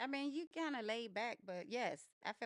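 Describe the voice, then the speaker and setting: A woman speaks loudly. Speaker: teacher and podcast co-host with her husband. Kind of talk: casual chat. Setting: at home on the couch.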